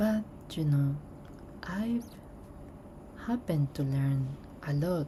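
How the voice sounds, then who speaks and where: This woman's voice is very deep and low, with a dark, mellow tone and a somewhat breathy quality. She talks at a very slow pace with ordinary pitch variation. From Colombia. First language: Spanish. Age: 30s. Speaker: artist. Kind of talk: casual chat while drawing. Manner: relaxed.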